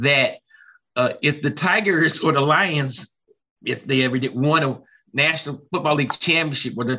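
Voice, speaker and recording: With an American accent, a man speaks in a fairly high pitch with a bright, sharp tone. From Detroit. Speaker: former reporter. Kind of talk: panel discussion.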